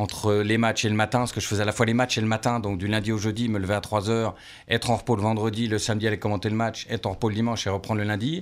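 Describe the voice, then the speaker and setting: Speaking at a very fast pace with very even loudness, a man with a fairly low pitch comes through in a very clean recording with a silent background. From France, Lorraine (Nancy). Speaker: former football radio commentator. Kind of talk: radio interview. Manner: energetic.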